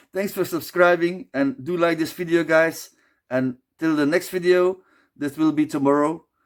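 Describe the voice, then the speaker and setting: This man has a non-native accent and a fairly high pitch. He speaks at a moderate pace with fairly even intonation on a very clean recording with a silent background. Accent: non-native English, noticeable. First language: Dutch. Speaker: beer reviewer, video creator. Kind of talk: casual vlog talk to camera. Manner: halting, self-correcting.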